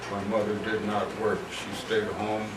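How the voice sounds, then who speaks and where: A man talks fairly slowly with a fairly low pitch. Noticeable background noise and audible room echo come through. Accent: American. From Cincinnati, Ohio. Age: 90s. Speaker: war veteran. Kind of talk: talk to an audience. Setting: museum lecture with audience. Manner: hesitant, many uh fillers.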